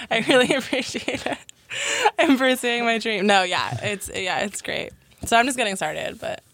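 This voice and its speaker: There is noticeable background noise behind a woman with an American accent. She talks at a moderate pace with a high pitch and lively intonation. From Connecticut. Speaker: singer-songwriter. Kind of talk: radio interview.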